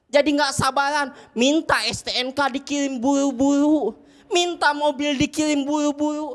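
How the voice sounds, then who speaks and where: Fairly even intonation marks a woman's high-pitched speech at a moderate pace. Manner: complaining, exasperated.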